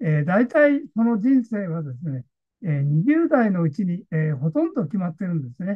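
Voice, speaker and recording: Very wide pitch swings from a man at a moderate pace, over a quiet background. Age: 80s+. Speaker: consultant, online lecture host. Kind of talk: online lecture to camera. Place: home room. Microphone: webcam.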